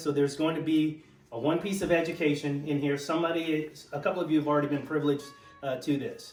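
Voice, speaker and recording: A man talks very fast at a fairly high pitch. Music plays in the background, and there is audible room echo. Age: 60s. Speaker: speaker at veterans networking event. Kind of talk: informal speech to a gathering. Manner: hesitant, frequent fillers and repetitions.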